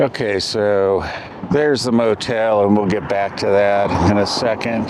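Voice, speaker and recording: Over noticeable background noise, a man speaks at a fairly slow pace in a fairly low pitch. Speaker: travel vlogger. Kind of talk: casual vlog narration. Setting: outdoors. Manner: loud.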